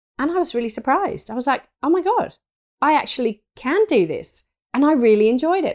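A woman with an English accent speaks at a fairly quick pace. Her high voice swings very widely in pitch. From rural England. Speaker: interior stylist. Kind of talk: interview. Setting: home, cat with a bell nearby.

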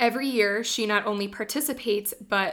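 Using an unremarkable speaking voice, a woman keeps to a medium pitch and a moderate pace. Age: 20s. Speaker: podcast co-host, former English teacher. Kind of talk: casual book discussion.

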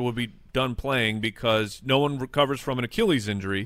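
An ordinary speaking voice from a man at a fairly quick pace. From Arizona. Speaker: fantasy football podcaster. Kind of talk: casual sports chat.

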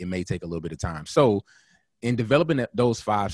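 The speaker is a man. His voice sits fairly low in pitch. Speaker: photographer and filmmaker. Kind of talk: casual podcast interview. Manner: halting, self-doubting.

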